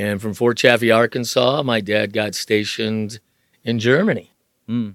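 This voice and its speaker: An ordinary speaking voice from a man, medium in pitch, moderate in pace, with fairly even intonation. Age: 60s. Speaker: driver's education instructor, retired salesman. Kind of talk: casual interview, storytelling.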